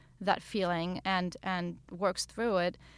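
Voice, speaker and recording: A woman with a German accent speaks at a medium pitch on a very clean recording with a silent background. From Germany. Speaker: novelist. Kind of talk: interview. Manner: halting.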